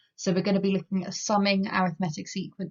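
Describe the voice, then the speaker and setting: A woman speaks with an English accent at a very fast pace. Her voice is somewhat breathy. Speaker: maths teacher. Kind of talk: lecture.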